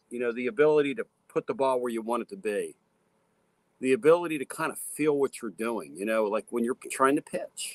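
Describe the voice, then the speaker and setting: With an unremarkable speaking voice, a man talks at a fairly quick pace and medium pitch, his intonation lively and the sound dry and close with no echo. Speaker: radio talk show host. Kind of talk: sports radio talk.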